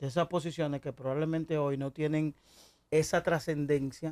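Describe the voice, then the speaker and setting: This man's voice sits fairly high in pitch. The recording is very clean, with a silent background. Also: dry, close sound with no echo. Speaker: talk radio host. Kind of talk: radio talk show interview. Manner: deliberately measured, not shouting.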